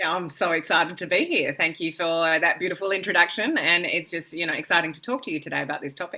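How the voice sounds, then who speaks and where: Talking at a very fast pace with hardly any pauses, a woman with an Australian accent uses a bright, sharp tone, fairly low pitch and fairly even intonation. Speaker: business coach. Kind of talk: interview.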